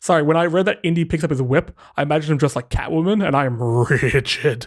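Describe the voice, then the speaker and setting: Talking very fast with an Australian accent, a man uses a fairly high voice and ordinary pitch variation. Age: 30s. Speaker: podcast host. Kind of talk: casual chat.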